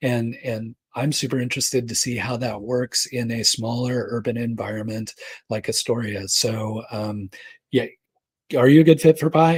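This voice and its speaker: A man speaks at a moderate pace and medium pitch. His voice is somewhat breathy, with fairly even intonation. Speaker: startup accelerator cofounder answering questions. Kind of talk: Q&A session. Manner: casual, with fillers.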